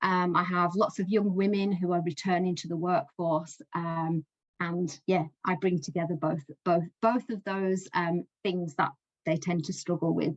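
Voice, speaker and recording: In a Lancashire accent, a woman talks at a moderate pace. The sound is dry and close, without echo. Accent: Northern English (Lancashire). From Lancashire, England. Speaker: education support coach. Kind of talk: speaker spot talk to business group.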